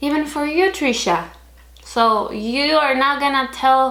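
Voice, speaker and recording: A woman's bright, sharp tone with ordinary pitch variation and audible room echo. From Chile. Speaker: vlogger. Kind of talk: opinion vlog. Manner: animated.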